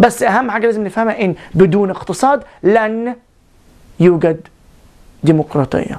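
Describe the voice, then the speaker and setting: A woman talks at a medium pitch and a moderate pace, with long, frequent pauses. Her intonation is lively and her tone animated. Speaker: video blogger. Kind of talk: political commentary monologue.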